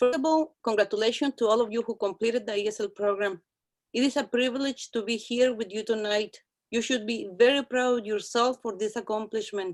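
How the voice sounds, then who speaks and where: A woman with a Mexican accent, fairly high pitch, fairly even intonation and a fairly quick pace, in a dry, close sound with no echo. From Mexico, Guanajuato. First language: Spanish. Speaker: ESL instructor. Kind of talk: speech. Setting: video call.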